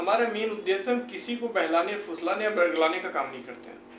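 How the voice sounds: A man's high, fairly bright voice, fairly quick and lively in intonation, with audible room echo.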